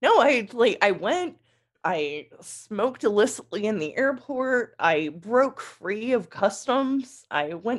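A woman with an American accent speaks at a fairly high pitch, her voice making very wide pitch swings against a quiet background. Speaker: author and journalist. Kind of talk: casual chat, interview with swearing. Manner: animated, storytelling, profane.

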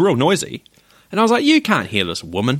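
A man speaks with a New Zealand accent. His pace is very fast. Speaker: podcast co-host. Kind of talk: casual chat.

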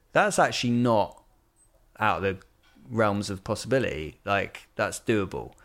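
A man with a West Country accent speaks at a fairly low pitch and a moderate pace, with ordinary pitch variation and long, frequent pauses, on a very clean recording with a silent background. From Bristol, England. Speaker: songwriter and vocal coach. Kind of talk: casual chat.

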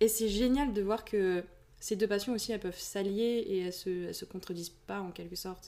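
A woman talks at a fairly quick pace in a dark, mellow tone. Her intonation stays fairly even, but her loudness swings a lot. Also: medium pitch for a woman. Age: young. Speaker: aspiring fantasy author and shopkeeper. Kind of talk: casual chat. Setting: face-to-face recording in same room.

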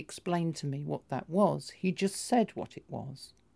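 A woman with a fairly low, dark and mellow voice speaks at a fairly slow pace with lively intonation, on a very clean recording with a silent background. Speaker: intersex transgender patient. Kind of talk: personal testimony.

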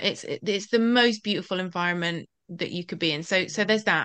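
A woman with an unremarkable speaking voice talks at a fairly quick pace, her fairly low pitch showing ordinary variation. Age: 20s. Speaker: confidence coach. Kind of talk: interview.

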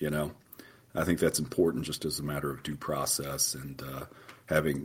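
A man with an American accent speaks at a moderate pace in a very deep, low pitch with vocal fry. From southeastern Oklahoma. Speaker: federal judge. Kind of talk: interview.

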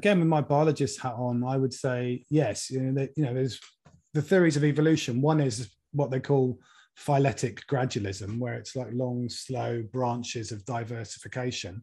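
A man with a medium pitch and ordinary pitch variation speaks at a moderate pace in a somewhat breathy voice with a dark, mellow tone. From Norfolk, England. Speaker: environmental campaigner and author. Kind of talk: interview. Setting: video call.

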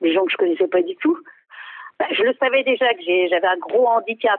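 Talking at a fairly quick pace, a woman uses a fairly high pitch with very wide pitch swings. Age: 60s. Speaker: helpline user. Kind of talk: testimony. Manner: hesitant.

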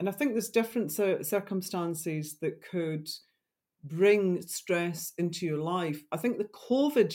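A dark, mellow voice speaks at a moderate pace in a Scottish accent. The recording is very clean and the background silent. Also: woman. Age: 50s. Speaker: wildlife photographer and writer. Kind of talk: interview, personal story.

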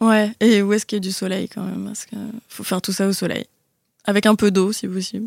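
In a very clean recording with a silent background, a woman speaks very fast at a medium pitch, her intonation monotone and flat while her loudness swings widely. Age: 20s. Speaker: actress. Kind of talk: casual chat.

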